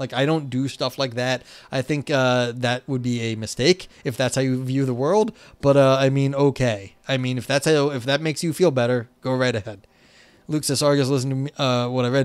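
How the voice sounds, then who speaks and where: In an American accent, a man talks at a fairly quick pace with fairly even intonation against a quiet background. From New York. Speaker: philosophy streamer. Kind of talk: live stream reading and commentary on a philosophy paper. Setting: live stream. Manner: casual, conversational.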